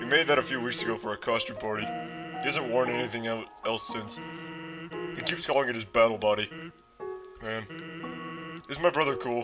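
A man's put-on character voice at medium pitch and moderate pace, over clear music in the background. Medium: role play. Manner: relaxed, casual.

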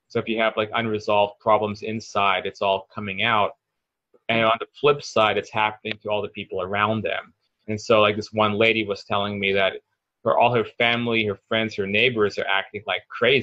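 A man talks at a fairly quick pace with monotone, flat intonation, and the sound is dry with no echo. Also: fairly low pitch for a man, quiet background. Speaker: spiritual coach guest. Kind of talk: interview answer. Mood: thoughtful, earnest explaining. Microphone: video call.

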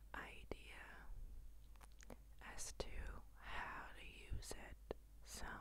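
The woman is whispering. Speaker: ASMR creator. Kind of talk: whispered ASMR chat. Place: home room. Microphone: handheld.

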